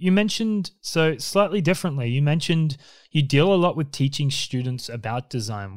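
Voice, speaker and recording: In an Australian accent, a man speaks at a moderate pace with a fairly high pitch and lively intonation. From Queensland, Australia. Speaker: podcast host and designer. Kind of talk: interview.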